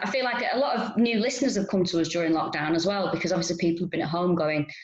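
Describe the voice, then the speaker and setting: A woman with a Manchester accent talks at a very fast pace in a fairly low pitch. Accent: Manchester accent, noticeable. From north and east Manchester. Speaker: stand-up comedian. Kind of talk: interview chat.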